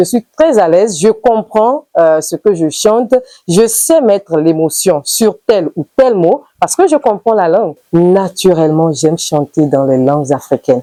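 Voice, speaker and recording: A woman's dark, mellow voice at a medium pitch, with very wide pitch swings, a fairly slow pace, hardly any pauses, and a dry, close sound with no echo. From Benin, Idaasha-speaking area. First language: Idaasha (Yoruba variety) (speaking French). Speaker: singer. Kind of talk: interview.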